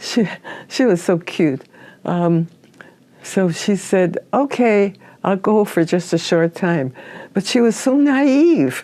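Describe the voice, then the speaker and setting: In an Upper Midwest accent, a woman with a dark, mellow tone and medium pitch speaks at a very slow pace, with very wide pitch swings and long, frequent pauses. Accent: Upper Midwest American. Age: 90s. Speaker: oral history interviewee. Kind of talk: oral history interview. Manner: halting.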